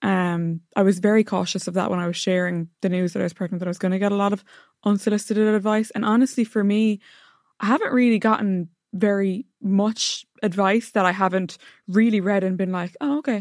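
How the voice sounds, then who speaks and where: Speaking with an Irish accent, a woman talks at a fairly quick pace with fairly even intonation. The recording is very clean, with a silent background and a dry, close sound with no echo. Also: medium pitch for a woman. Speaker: lifestyle blogger. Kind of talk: casual chat.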